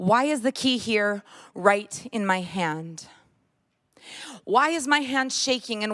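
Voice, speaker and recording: Her pitch sits fairly high and her intonation is lively. This woman talks at a fairly slow pace. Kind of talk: spoken word poetry performance. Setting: church.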